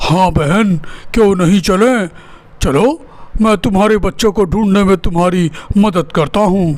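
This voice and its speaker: In a cartoonish character voice, a man talks at a high pitch and a fairly slow pace. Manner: innocent, earnest.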